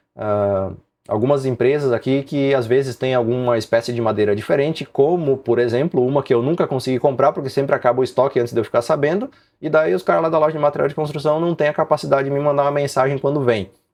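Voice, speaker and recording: With a fairly high pitch, this man delivers his words at a very fast speed. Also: ordinary pitch variation. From southern Brazil, Rio Grande do Sul. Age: 40s. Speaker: woodworking YouTuber. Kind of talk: live stream Q&A chat. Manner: casual, conversational.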